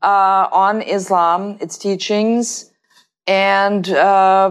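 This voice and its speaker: In a quiet background, a woman talks at a medium pitch. Her intonation stays fairly even. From Austria. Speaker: author and former diplomatic staffer. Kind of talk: interview.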